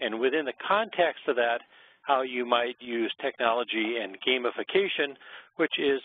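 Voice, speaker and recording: A man speaks in an ordinary speaking voice at a medium pitch, with normal pitch movement and a moderate speed. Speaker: webinar presenter. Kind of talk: lecture. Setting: webinar.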